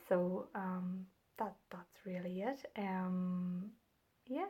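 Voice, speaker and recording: This woman has a Northern Irish accent. Her voice is at a medium pitch. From Northern Ireland. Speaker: knitting and crochet podcaster. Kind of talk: casual chat. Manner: hesitant, many fillers.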